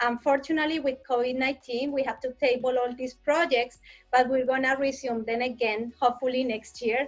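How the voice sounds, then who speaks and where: A woman's high-pitched voice, monotone with flat intonation, in a slight Colombian accent. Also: fairly quick pace. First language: Spanish. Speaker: destination marketing staff. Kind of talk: interview.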